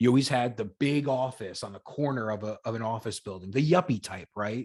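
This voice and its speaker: A man speaks in a normal speaking voice at a fairly quick pace. The background is quiet. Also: medium pitch for a man, ordinary pitch variation. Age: 30s. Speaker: whiskey content creator. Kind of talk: casual chat.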